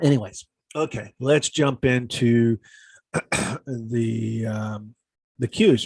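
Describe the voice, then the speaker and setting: A man's fairly even intonation comes through in a dry, close sound with no echo. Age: 60s. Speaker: stock and options trader. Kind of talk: casual market commentary to camera.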